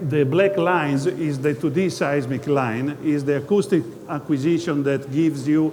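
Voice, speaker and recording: Against noticeable background noise, a man with an Italian accent and a fairly high voice talks at a fairly slow pace. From Italy. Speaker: geologist, company presenter. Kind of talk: investor presentation. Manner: halting, many hesitations.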